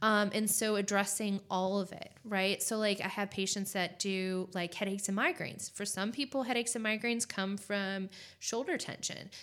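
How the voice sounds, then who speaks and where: Here is a woman with a normal speaking voice and a medium pitch. She keeps a moderate pace and fairly even intonation. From California. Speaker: acupuncturist. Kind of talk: casual chat.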